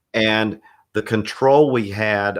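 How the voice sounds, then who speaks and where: In a Southern US accent, a man speaks at a fairly low pitch with fairly even intonation. The background is quiet. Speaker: church audio and production consultant. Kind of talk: webinar discussion. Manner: casual.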